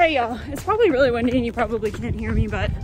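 A woman speaks over music in the background, the sound dry with no echo. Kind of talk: casual vlog chat. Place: street. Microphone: phone near.

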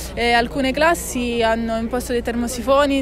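With music in the background, a woman talks at a moderate pace and fairly even intonation, the sound dry with no echo. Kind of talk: interview answer. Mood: earnest, assertive. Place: street.

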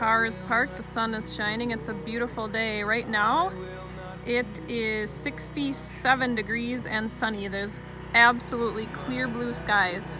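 Over clear music in the background, a woman speaks with fairly even intonation in a dry sound with no echo. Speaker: family travel vlogger. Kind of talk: casual vlog chat. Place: open country. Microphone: phone near.

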